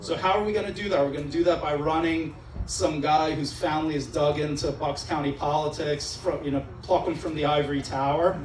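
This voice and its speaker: With a Pennsylvania accent, a man talks at a fairly quick pace with hardly any pauses, amid noticeable background noise and audible room echo. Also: fairly high pitch for a man. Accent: American, Pennsylvania. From Israel. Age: 40s. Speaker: judicial candidate. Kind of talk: campaign speech. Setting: restaurant event with live audience. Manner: animated. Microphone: PA microphone with echo in his ear.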